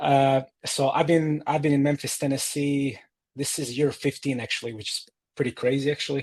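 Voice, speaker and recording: A man with a Croatian accent speaks at a fairly high pitch in a monotone, flat intonation. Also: moderate pace. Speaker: data educator and tech executive. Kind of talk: interview. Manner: halting, many fillers.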